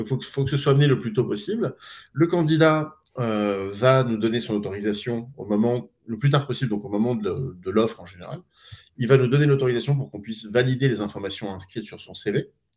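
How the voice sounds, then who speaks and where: In a plain, everyday voice, a man talks at a fairly quick pace and medium pitch, with ordinary pitch variation and big swings in loudness. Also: very clean recording, silent background. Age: 40s. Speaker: startup co-founder. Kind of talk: live stream interview.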